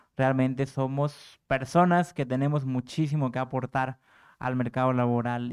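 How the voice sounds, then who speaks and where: A man talks at a moderate pace and a medium pitch. The background is quiet. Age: young. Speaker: panel moderator. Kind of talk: moderated panel discussion. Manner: hesitant with filler and repetitions. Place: hall. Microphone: podium.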